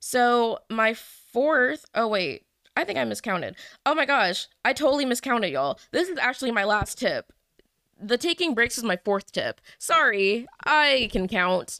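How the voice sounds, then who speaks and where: On a very clean recording with a silent background and a dry, close sound with no echo, a woman speaks in a high, bright, sharp tone at a fairly slow pace, animated and with lively intonation. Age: 20s. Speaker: podcast host and medical student. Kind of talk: casual solo podcast monologue. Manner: animated, with laughter.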